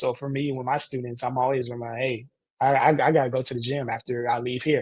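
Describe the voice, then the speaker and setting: The voice is somewhat breathy with a dark, mellow tone and moves at a fairly quick pace. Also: man. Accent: American. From Indiana, US Midwest. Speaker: youth and parent empowerment coach, counselor. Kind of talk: interview conversation. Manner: halting, frequent false starts.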